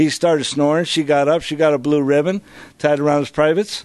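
This man has a normal speaking voice, fairly high for a man, with fairly even intonation and a fairly quick pace. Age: 50s. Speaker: AA speaker in recovery. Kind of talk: recovery testimony.

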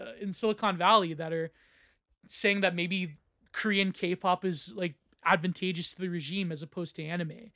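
A man's raised, projected voice with a bright, sharp tone at a high pitch and fairly quick pace, in a dry, close sound with no echo on a very clean recording with a silent background. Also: big swings in loudness. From Canada. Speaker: podcast host. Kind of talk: casual intellectual discussion.

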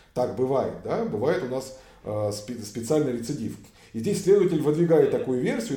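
A man speaks at a medium pitch, with audible room echo. Noticeable background noise runs under his voice. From Russia. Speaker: human rights activist, former police officer. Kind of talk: casual interview.

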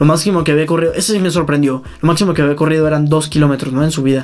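Fairly high male voice with fairly even intonation amid noticeable background noise. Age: 20s. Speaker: triathlete. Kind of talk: casual interview.

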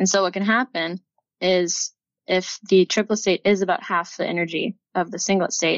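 A woman with an American accent has an unremarkable speaking voice at a medium pitch. She talks at a fairly quick pace with fairly even intonation. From Texas. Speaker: PhD student in chemical engineering. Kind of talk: casual interview.

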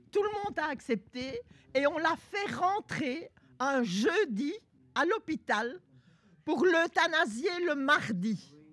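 A woman speaks in a high voice at a very slow pace. Her pitch swings very widely, and she takes long, frequent pauses. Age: old. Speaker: senior participant in a workshop. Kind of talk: group discussion.

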